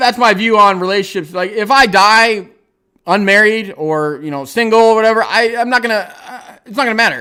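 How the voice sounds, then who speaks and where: A raised, projected voice with a bright, sharp tone and ordinary pitch variation comes through on a very clean recording against a silent background. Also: man. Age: 40s. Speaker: YouTuber streaming a livestream. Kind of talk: casual livestream chat. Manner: halting, many fillers.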